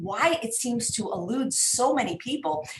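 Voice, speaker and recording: A woman with a fairly high voice speaks at a moderate pace over noticeable background noise. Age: 60s. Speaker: online show host. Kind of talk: live stream interview.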